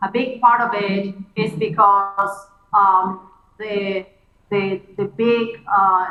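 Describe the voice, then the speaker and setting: A woman talks in an ordinary speaking voice at a medium pitch with fairly even intonation. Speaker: computer scientist. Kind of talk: keynote conversation.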